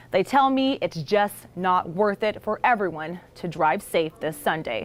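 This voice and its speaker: With a plain, everyday voice, a woman speaks at a medium pitch and a fairly slow pace, her intonation lively. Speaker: TV news reporter. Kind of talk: TV news report narration.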